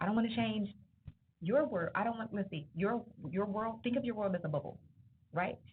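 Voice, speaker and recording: Long, frequent pauses break up a woman's animated tone, which has ordinary pitch variation. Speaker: entrepreneur and guest speaker. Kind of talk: motivational talk to students. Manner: loud.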